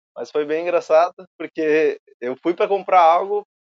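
Ordinary pitch variation marks the fairly slow delivery of a man with a normal speaking voice. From southern Brazil, Rio Grande do Sul (Alvorada). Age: 20s. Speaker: filmmaker and photographer. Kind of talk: casual interview chat.

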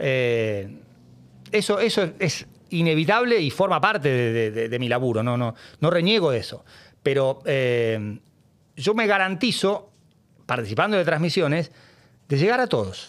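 In a very clean recording with a silent background, a man with a fairly high voice speaks at a fairly slow pace, with very wide pitch swings and long, frequent pauses. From Argentina, Buenos Aires. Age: 50s. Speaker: sports journalist. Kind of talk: casual interview.

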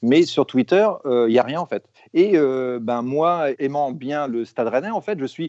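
Talking at a fairly slow pace, a man at medium pitch makes very wide pitch swings. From France, Rennes. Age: 40s. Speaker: football fan, burger maker. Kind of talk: casual chat.

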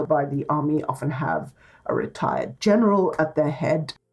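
The voice is somewhat breathy, with a dark, mellow tone and a moderate pace. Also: woman. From Egypt. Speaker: think tank scholar. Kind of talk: interview.

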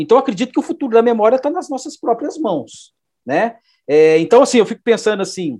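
Against a quiet background, a man speaks at a fairly quick pace in an extremely high voice with a dark, mellow tone and very wide pitch swings. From Minas Gerais, Brazil (Belo Horizonte). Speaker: design professor and researcher. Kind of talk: interview. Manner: halting, many fillers.

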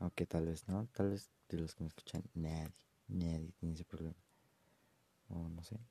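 Heard dry and close with no echo, a man with a very deep, low pitch and a dark, mellow tone speaks at a fairly quick pace with long, frequent pauses. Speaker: amateur podcaster. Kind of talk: casual monologue. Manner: halting.

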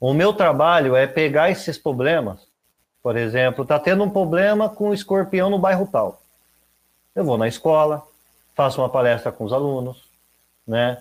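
A man's fairly high voice with lively intonation, a moderate pace, and long, frequent pauses. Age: 30s. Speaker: environmental educator. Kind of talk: casual interview chat.

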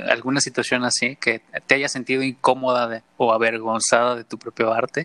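In a bright, sharp tone, a man of medium pitch speaks at a fairly quick pace with ordinary pitch variation, the sound dry and close with no echo. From Mexico, San Luis Potosí and Mexico City. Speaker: podcast host. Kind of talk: casual interview chat.

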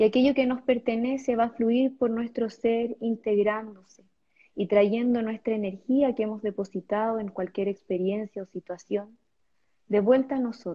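Fairly high in pitch and somewhat breathy, a woman speaks in a calm, soothing tone with fairly even intonation. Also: moderate pace. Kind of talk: guided meditation.

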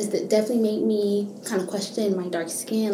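With audible room echo and noticeable background noise around her, a woman's medium-pitched voice carries fairly even intonation. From Miami, Florida, Haitian family. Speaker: university student. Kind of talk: interview.

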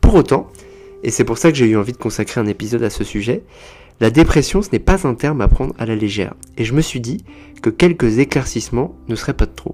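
Delivered at a fairly quick pace, this unremarkable speaking voice has lively intonation. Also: man, medium pitch for a man. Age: 30s. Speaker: psychotherapist, podcast host. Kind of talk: informative podcast monologue.

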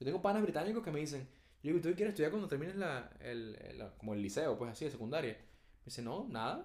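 Speaking at a very fast pace, a man with a Venezuelan accent uses very wide pitch swings. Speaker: podcast co-host. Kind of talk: casual chat.

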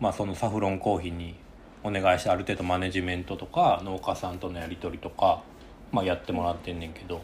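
A man's very deep, low voice with a Kansai accent, somewhat breathy, at a fairly quick pace. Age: 30s. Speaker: coffee company podcast host. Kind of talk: casual chat.

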